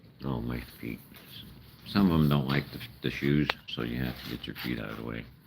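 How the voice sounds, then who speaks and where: With an American accent, a man speaks at a fairly quick pace in a very deep, low pitch, his ordinary pitch variation broken by long, frequent pauses over noticeable background noise. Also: big swings in loudness. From Chicago, US Midwest. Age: 60s. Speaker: live streamer feeding raccoons. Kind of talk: casual live-stream chat. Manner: rambling, halting.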